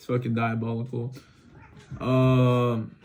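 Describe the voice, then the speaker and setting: A man at a medium pitch with monotone, flat intonation, in audible room echo. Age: 20s. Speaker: vlogger, car wash worker. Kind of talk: casual unscripted monologue. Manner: halting, lots of filler and restarts.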